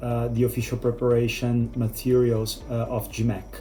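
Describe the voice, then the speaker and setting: A man with a non-native accent. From Brazil. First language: Portuguese. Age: 40s. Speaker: business executive, test-prep student. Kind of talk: testimonial. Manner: hesitant, many fillers.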